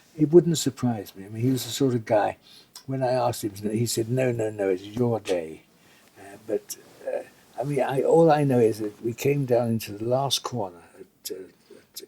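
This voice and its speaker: A man with an English accent at medium pitch, moderate pace, ordinary pitch variation and big swings in loudness. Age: 80s+. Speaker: retired racing driver. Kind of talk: interview answer.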